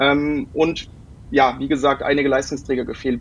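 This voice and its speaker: Moderate in pace, this man talks. His voice is fairly high in pitch. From Germany, born in London. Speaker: football writer. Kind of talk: casual chat. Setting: remote call. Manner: halting, many fillers.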